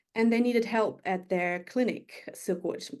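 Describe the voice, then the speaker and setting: Ordinary pitch variation in a German accent. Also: woman. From Germany, Berlin. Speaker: magazine editor. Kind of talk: interview.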